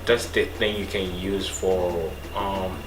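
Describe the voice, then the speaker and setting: A man speaks with a Rwandan accent. Noticeable background noise and audible room echo are present. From Rwanda, Kigali. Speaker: nursing student. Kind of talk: casual monologue. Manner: halting.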